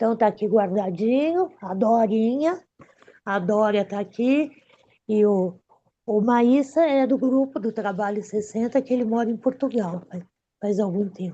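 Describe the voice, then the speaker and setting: A woman with a normal speaking voice talks at a fairly slow pace, her pitch fairly high with ordinary variation. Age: 60s. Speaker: online group organizer. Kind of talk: casual group video meeting.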